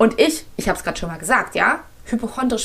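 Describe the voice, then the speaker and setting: A woman talks at a very fast clip in a fairly high voice. Her intonation is lively and her tone animated. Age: 30s. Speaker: podcast host and breathwork coach. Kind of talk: solo podcast monologue.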